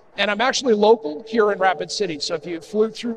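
Over noticeable background noise, a man talks at a very fast pace in a high pitch. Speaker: conference presenter. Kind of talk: conference talk. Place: hall.

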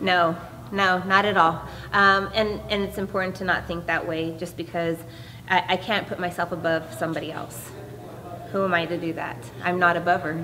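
A woman with an ordinary speaking voice talks at a fairly low pitch and moderate pace, with fairly even intonation and light background noise. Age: 40s. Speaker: professional MMA fighter. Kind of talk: media day interview. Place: hall.

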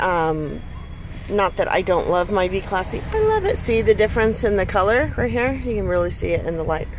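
A woman talks at a fairly quick pace over light background noise, the sound dry with no echo. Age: 40s. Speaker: stay-at-home mom. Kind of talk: casual product review to camera. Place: car. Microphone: phone near.

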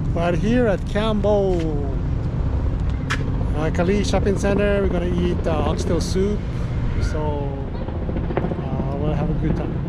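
Against loud background noise, a man speaks fairly slowly, stopping for long pauses often. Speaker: vlogger. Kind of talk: casual vlog chat. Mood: relaxed, cheerful. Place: street. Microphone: phone near.

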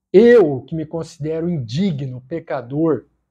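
Over a quiet background, a man talks at a very slow pace with lively intonation. His tone is dark and mellow, with a fairly high pitch. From Brazil. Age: 40s. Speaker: YouTuber sharing faith experience. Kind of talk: testimony. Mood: earnest, heartfelt. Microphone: lapel.

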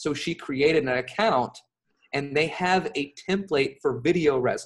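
Speaking with an American accent, a man with a fairly high pitch talks at a moderate pace with ordinary pitch variation. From California. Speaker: remote job coach; interview guest, remote work coach. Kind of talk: interview. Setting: remote call from abroad. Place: home room. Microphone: earbuds.

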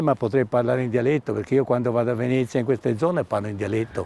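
Very fast speech from a man, dark and mellow in tone with ordinary pitch variation, dry with no echo. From Istria, Pola (now Croatia); Istria. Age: 80s+. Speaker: war refugee witness; witness. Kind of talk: interview testimony. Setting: outdoors. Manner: halting. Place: garden. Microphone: lapel.

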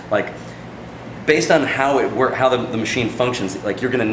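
A man rushes along at a very fast pace with ordinary pitch variation, noticeable background noise behind him. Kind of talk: interview answer. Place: studio. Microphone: camera far.

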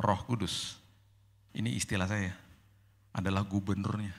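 A man talks at a fairly slow pace. His pitch sits fairly low. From Indonesia, Manado and Indian family; Indonesia. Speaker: pastor. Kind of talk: sermon. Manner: casual. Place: hall. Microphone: handheld.

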